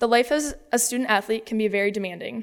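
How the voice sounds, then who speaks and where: A woman with an American accent, fairly high pitch, fairly even intonation and a fairly quick pace, in a very clean recording with a silent background. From US Midwest. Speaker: college athlete. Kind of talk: speech at a fundraising luncheon. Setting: stage with audience.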